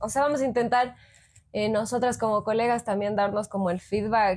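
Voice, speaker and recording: This woman has a plain, everyday voice at medium pitch, talking at a moderate pace on a very clean recording with a silent background. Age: 20s. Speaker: psychologist, podcast co-host. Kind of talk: casual chat.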